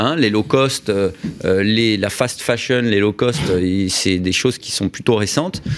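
Speech at a very slow pace with ordinary pitch variation comes through noticeable background noise. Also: man, fairly low pitch for a man. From Paris, France. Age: 40s. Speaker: business leader. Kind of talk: radio interview. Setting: radio studio.

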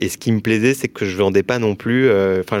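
Here a man talks at a moderate pace in an unremarkable speaking voice with fairly even intonation. The sound is dry and close, with no echo. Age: 30s. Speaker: mortgage broker entrepreneur. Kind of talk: interview.

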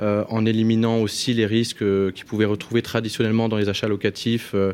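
A man's fairly low voice, flat and monotone, at a fairly quick pace. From northern France. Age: 30s. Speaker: entrepreneur. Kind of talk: radio panel discussion.

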